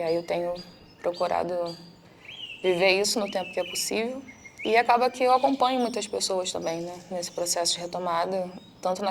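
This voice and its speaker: With noticeable background noise behind her, a woman speaks at a medium pitch and a moderate pace, her pitch varying in an ordinary way. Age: 20s. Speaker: psychologist. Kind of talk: testimony.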